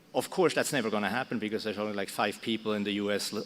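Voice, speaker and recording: With a Swiss German accent, a man speaks at a fairly low pitch. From Switzerland. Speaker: broadcast technology expert. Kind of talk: conference panel talk. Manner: halting, many fillers.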